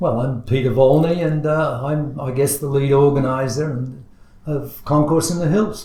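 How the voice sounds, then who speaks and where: An Australian accent marks this man's somewhat breathy, dark, mellow voice. He speaks fairly high in pitch at a moderate pace, with fairly even intonation. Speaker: car show organizer. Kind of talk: podcast interview. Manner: halting, many fillers.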